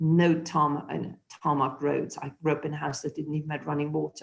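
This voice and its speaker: A woman speaks with a German accent. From Germany. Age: 60s. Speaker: former politician. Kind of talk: webinar interview. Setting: video call.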